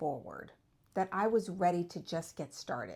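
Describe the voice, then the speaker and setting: A woman talks at a moderate pace. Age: 50s. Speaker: vlogger documenting online business journey. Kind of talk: personal video update. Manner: casual, conversational with some stumbles.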